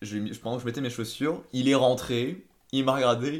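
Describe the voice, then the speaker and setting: At a moderate pace, a man speaks with ordinary variation in pitch. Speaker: engineer. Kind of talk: casual chat. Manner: hesitant, repeats words.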